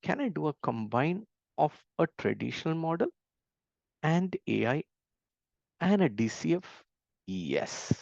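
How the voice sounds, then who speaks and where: At a fairly slow pace, a man speaks with long, frequent pauses, the sound dry and close with no echo and the background quiet. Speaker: valuation trainer. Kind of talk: lecture. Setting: webinar.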